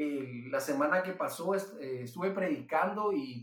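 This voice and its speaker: The speaker talks at a very slow pace with a Guatemalan accent. The intonation is lively. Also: man. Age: 20s. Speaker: pastor and entrepreneur. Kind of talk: interview testimony. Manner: halting, frequent repetitions.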